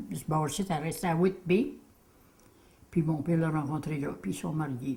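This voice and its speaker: A dark, mellow tone, somewhat breathy, with ordinary pitch variation. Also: woman. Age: old. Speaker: home cook, elderly interviewee. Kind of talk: casual interview.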